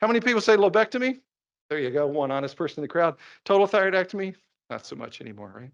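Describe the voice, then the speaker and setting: Against a quiet background, a man with a high pitch and a Kentucky accent speaks at a very fast pace in an animated tone, with lively intonation and big swings in loudness. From Kentucky (Laurel County, northern Kentucky). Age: 60s. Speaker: endocrinologist. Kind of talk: lecture. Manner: conversational, animated.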